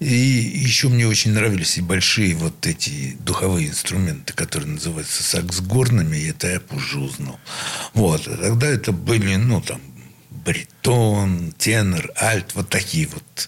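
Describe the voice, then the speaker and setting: Noticeable background noise runs under a man with a very deep, low pitch, lively intonation and a fairly slow pace. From Leningrad, Russia. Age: old. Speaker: saxophonist. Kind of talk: interview reminiscence.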